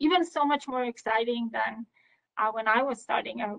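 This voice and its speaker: Speaking at a fairly quick pace, a woman with a non-native accent has a high-pitched voice. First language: not English. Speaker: power engineer, senior manager. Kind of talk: podcast interview. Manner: hesitant, many fillers.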